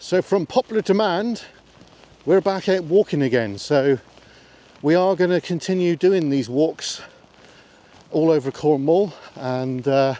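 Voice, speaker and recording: Recorded dry with no echo, a man talks at a fairly slow pace with lively intonation and long, frequent pauses. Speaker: vlogger. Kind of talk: casual vlog chat. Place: open country. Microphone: phone near.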